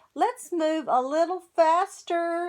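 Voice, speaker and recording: A woman uses a put-on character voice. It is squeaky and extremely high in pitch. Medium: read story. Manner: warm, encouraging.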